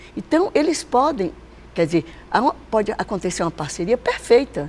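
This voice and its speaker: This woman's pitch is fairly high and swings very widely. She speaks at a moderate pace. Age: 70s. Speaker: company president. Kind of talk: interview.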